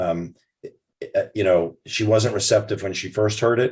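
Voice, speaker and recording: The background stays quiet. A man's voice comes through somewhat breathy. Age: 60s. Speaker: retired foot surgeon. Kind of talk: interview. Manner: halting.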